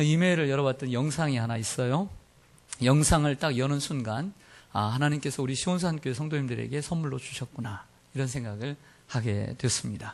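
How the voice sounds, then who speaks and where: A man with an ordinary speaking voice talks at a fairly quick pace and fairly high pitch, with ordinary pitch variation. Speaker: pastor. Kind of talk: sermon. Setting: church.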